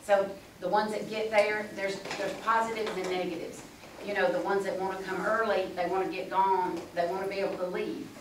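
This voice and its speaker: A woman talks at a very fast pace with monotone, flat intonation. Noticeable background noise and audible room echo are present. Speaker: political candidate. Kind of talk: forum answer. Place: meeting room. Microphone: camera far.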